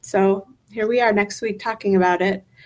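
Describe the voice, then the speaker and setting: A woman with medium pitch is speaking. Her pace is moderate and her intonation fairly even. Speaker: keto coach and author. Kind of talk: live video monologue. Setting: live stream at home.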